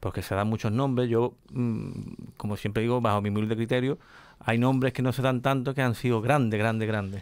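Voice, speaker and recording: A man speaks in a normal speaking voice at a medium pitch and fairly quick pace. The intonation stays fairly even, and the sound is dry with no echo. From El Puerto de Santa María, Andalusia, Spain; Andalusia, Spain. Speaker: radio host of a flamenco programme. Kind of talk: radio interview. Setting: radio studio, filmed. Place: studio. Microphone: studio mic.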